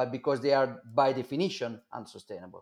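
A man talks at a moderate pace with an Italian accent. His pitch is medium. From Italy, Milan. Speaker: Bitcoin advocate. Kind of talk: interview.

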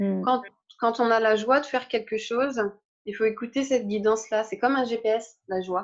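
A woman speaks in a plain, everyday voice at a fairly high pitch and a fairly slow pace. Her pitch varies in an ordinary way over a quiet background. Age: 30s. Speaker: spiritual teacher. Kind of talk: interview.

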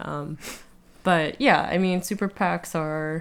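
An ordinary speaking voice with an American accent talks at a fairly slow pace. The recording is very clean, with a silent background. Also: woman. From US, South Jersey. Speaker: political campaign worker, guest interviewer. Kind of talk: casual chat.

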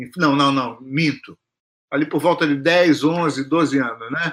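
This man's pitch is fairly high. He talks at a very slow pace. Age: 60s. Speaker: music professor and composer. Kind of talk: casual chat. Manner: halting.

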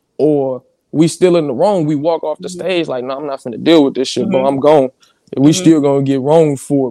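Talking at a fairly quick pace with ordinary pitch variation, a man sounds dry and close with no echo. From St. Louis. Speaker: rapper. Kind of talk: casual interview.

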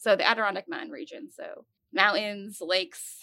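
The pace here is moderate. An American accent comes through. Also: woman. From upstate New York (Glens Falls). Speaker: chemistry professor. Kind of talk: casual interview.

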